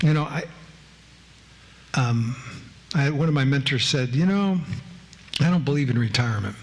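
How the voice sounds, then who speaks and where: At a moderate pace with long, frequent pauses, the voice keeps very even loudness and ordinary pitch variation, with audible room echo and noticeable background noise. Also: man, fairly high pitch for a man. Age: old. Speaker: former judge and lecturer. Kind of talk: public lecture.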